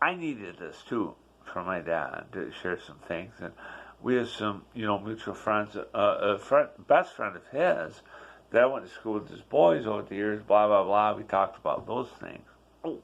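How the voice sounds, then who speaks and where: A man's normal speaking voice, fairly low in pitch, at a moderate pace with lively intonation and big swings in loudness. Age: 60s. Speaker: vlogger sharing personal life reflections. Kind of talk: personal vlog monologue. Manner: conversational, with repetitions and fillers.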